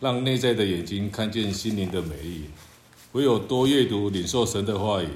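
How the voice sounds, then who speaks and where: A man talks with a fairly low voice and ordinary pitch variation. Room echo is audible. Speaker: church member. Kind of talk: reading aloud.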